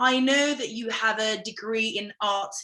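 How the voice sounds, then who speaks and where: In a British accent, a woman speaks at a fairly slow pace. Her fairly high voice has lively intonation. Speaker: language academy founder and interviewer. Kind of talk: interview host.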